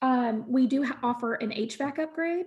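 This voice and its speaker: A woman talks in a high voice with ordinary pitch variation. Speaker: home warranty representative. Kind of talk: presentation to real estate agents. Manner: fast.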